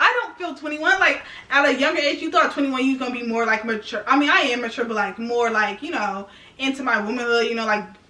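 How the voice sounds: Fast, fairly high-pitched speech from a woman, bright and sharp in tone, with ordinary pitch variation and audible room echo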